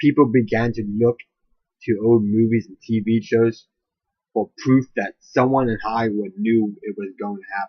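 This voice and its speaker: A man's normal speaking voice at a medium pitch and moderate pace, fairly even in intonation, with big swings in loudness. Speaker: essay writer reading own writings. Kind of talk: spoken essay narration.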